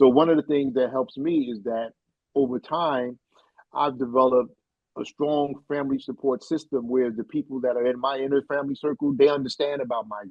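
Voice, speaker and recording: A man with an unremarkable speaking voice talks at a fairly quick pace. His pitch is medium, with fairly even intonation. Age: 60s. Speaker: migraine advocate. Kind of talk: interview conversation.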